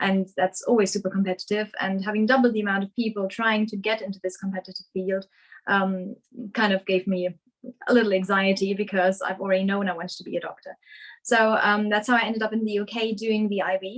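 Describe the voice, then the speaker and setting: Delivered at a very fast pace in a German accent, the speech has monotone, flat intonation. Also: woman, medium pitch for a woman. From Germany, Essen. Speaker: surgical resident doctor. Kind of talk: webinar presentation. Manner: hesitant, many fillers.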